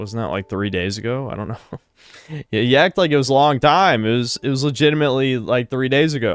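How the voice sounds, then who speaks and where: With lively intonation and a fairly quick pace, a man of medium pitch speaks in a normal speaking voice. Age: 30s. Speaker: streamer. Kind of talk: casual chat.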